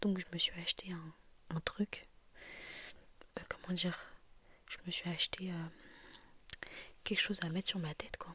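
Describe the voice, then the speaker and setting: A soft-spoken woman talks at a fairly slow pace. Her fairly low voice stays in a monotone, flat intonation. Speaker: ASMR creator. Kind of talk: casual ASMR talk to camera.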